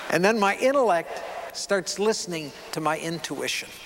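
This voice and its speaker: A man speaks fairly slowly in a warm tone with ordinary pitch variation. Noticeable background noise is present. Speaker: keynote speaker and photographer. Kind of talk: keynote speech to an audience. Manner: warm, conversational, engaging.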